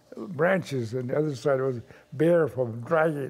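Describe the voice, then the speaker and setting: A man speaks with ordinary pitch variation. Background noise is noticeable throughout. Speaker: grandfather recalling childhood. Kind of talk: interview answer.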